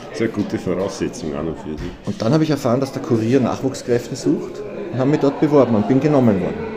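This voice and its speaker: The speech comes at a very fast pace with very wide pitch swings. Music plays in the background. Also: man, medium pitch for a man. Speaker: journalist and cabaret artist. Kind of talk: casual interview. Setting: restaurant.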